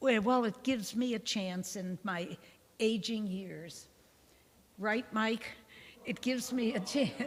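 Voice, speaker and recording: A woman with a fairly high, somewhat breathy voice talks at a fairly slow pace, using ordinary pitch variation and long, frequent pauses. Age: 80s+. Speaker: nun giving a parish Bible talk. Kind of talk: lecture with group discussion. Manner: informal, warm.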